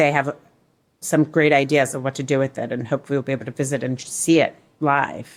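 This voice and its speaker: Very fast and in a monotone, flat intonation, a woman speaks with a very deep, low pitch. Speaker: newspaper reporter. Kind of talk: interview.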